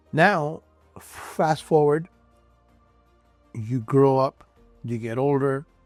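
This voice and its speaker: Over music in the background, a man speaks at a very slow pace and medium pitch with ordinary pitch variation. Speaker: sales consultant; certified hypnotherapist. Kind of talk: motivational talk to camera.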